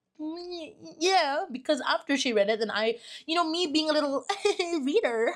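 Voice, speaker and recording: A woman talks at a moderate pace in a high voice, with lively intonation and an animated tone. She leaves long, frequent pauses. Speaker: vlogger. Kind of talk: casual storytime vlog.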